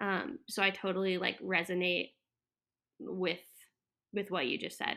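A woman with an American accent, a bright, sharp tone, vocal fry and fairly even intonation, in a very clean recording with a silent background. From Florida. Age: 20s. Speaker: florist and landscaper. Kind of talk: casual interview. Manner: halting, many fillers.

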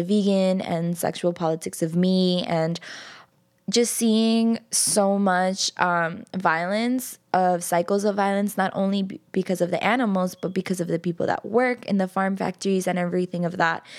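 A woman with an American accent speaks in a normal speaking voice at a medium pitch and moderate pace, her loudness very even and her intonation fairly even, on a very clean recording with a silent background. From New York City (Queens). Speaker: vegan activist and community organizer. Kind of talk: interview. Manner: casual, many fillers.

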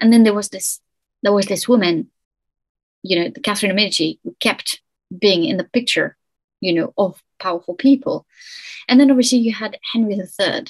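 With a French accent, a woman talks at a fairly quick pace in a medium pitch, with ordinary pitch variation, a somewhat breathy quality, long and frequent pauses, and a dry, close sound with no echo. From France. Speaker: historian. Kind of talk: interview.

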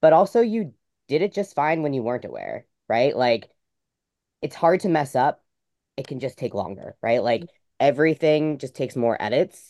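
The man's voice is fairly high in pitch yet dark and mellow in tone, with lively intonation at a moderate pace, and the sound is dry and close with no echo against a quiet background. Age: 30s. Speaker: young adult novelist. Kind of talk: live webinar panel discussion. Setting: live webinar with chat.

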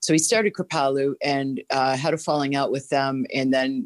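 A woman's very deep, low voice with a slight Boston accent and ordinary pitch variation. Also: dry, close sound with no echo. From Boston, US. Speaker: holistic health teacher. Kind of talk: casual interview. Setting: remote audio-only call.

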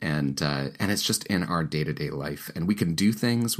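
This man speaks at a fairly quick pace. Vocal fry runs through his voice. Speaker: pastor and author, podcast host. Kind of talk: reading aloud from his own book; casual monologue. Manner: hesitant, many fillers.

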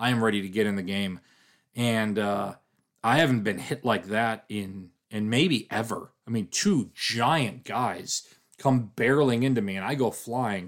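He has a normal speaking voice, pitched at a medium level. The man's pace is fairly slow, and his pitch variation is ordinary. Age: 40s. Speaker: podcast host and sports website editor. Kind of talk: casual sports podcast chat.

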